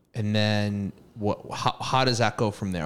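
At a moderate pace, a man talks in an ordinary speaking voice with a fairly low pitch. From Massachusetts. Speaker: podcast co-host. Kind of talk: casual chat.

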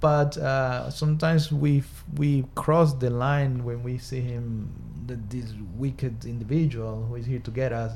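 His tone dark and mellow, a man speaks in a somewhat breathy voice with ordinary pitch variation. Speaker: doctor or psychiatrist guest. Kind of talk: casual discussion. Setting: studio.

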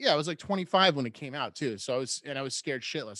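A man with an American accent has a fairly high pitch and a bright, sharp tone. He speaks at a fairly quick pace. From US Northeast, Rhode Island. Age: 40s. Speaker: podcast host. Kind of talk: casual interview chat.

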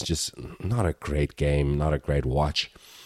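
A man speaks with a very deep, low pitch and a monotone, flat intonation at a fairly slow pace. The sound is dry and close, with no echo. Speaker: football podcast host. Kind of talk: sports commentary. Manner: emphatic, opinionated, repeats words for emphasis.

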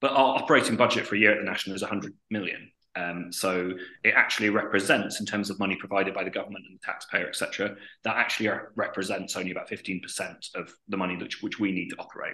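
A man talks at a very fast pace, and the background is quiet. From northern England, Northumberland. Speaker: theatre dramaturg. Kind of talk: interview.

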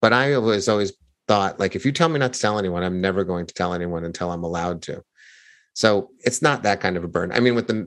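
Very fast speech from a man with a fairly low pitch and ordinary variation, over a quiet background. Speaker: author and storytelling coach. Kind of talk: interview. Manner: conversational, unscripted.

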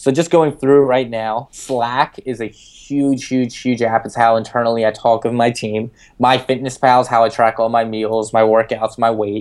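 A man speaks in a plain, everyday voice at medium pitch. His intonation is fairly even, and the recording is very clean with a silent background. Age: 20s. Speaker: startup founder. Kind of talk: interview. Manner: filler-heavy, many ums.

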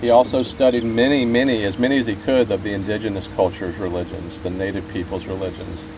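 Against noticeable background noise, a man speaks at a medium pitch with ordinary variation. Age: 50s. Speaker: fly fisherman, spiritual ecology student. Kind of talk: casual talk. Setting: outdoors in a boat.

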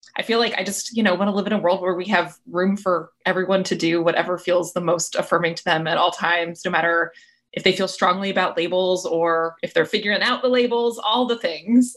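In a normal speaking voice, the speaker goes at a fairly quick pace with fairly even intonation. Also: woman, medium pitch for a woman, hardly any pauses, very clean recording, silent background. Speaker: podcast co-host. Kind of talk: casual chat. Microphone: technical issues with mic, sounds different.

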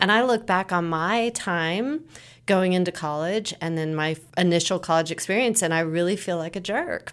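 Over a silent background on a very clean recording, a woman speaks in a plain, everyday voice at a moderate pace with ordinary pitch variation. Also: medium pitch for a woman. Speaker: nonprofit director. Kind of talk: interview answers.

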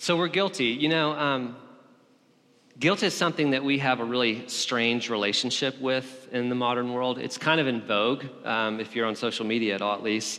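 A man speaks at a moderate pace with a Southern US accent, his pitch medium and its variation ordinary, over noticeable background noise. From Alabama. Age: 30s. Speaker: pastor. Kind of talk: sermon.

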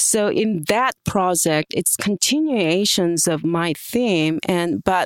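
A woman speaks very slowly in a Korean accent. The recording is very clean with a silent background, and the sound is dry and close with no echo. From South Korea. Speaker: art professor and printmaker. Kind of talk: interview. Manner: halting.

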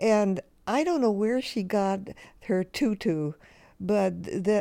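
At a very slow pace, a dark, mellow voice with an American accent and ordinary pitch variation comes through a very clean recording with a silent background. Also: woman. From US West Coast, Los Angeles. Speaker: photographer. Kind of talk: interview, reminiscing. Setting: at home on her couch. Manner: halting, with restarts.

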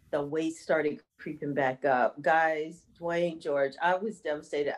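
This woman has an ordinary speaking voice, fairly low in pitch, moving at a moderate pace. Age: 50s. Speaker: fitness instructor and health coach. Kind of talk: casual interview.

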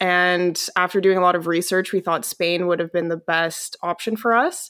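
On a very clean recording with a silent background, a woman of medium pitch speaks in a Western Canadian accent at a moderate pace with fairly even intonation. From Canada, Calgary, Alberta. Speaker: publishing company employee living abroad. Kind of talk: interview conversation.

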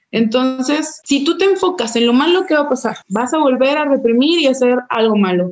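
The voice belongs to a woman and is high in pitch. Her pitch varies in an ordinary way. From Mexico, Puerto Vallarta. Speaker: Paralympic athlete. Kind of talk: interview.

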